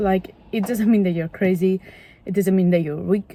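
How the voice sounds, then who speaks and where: A woman speaks in a medium pitch with a non-native accent. Her intonation is fairly even. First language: not English. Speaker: vlogger. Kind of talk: casual chat. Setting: in a car. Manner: halting.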